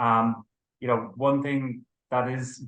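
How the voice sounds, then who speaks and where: A man speaks at a medium pitch with an Irish accent, his bright, sharp tone held to a monotone, flat intonation. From Ireland. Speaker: company co-founder and managing director. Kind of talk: business interview. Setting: video interview.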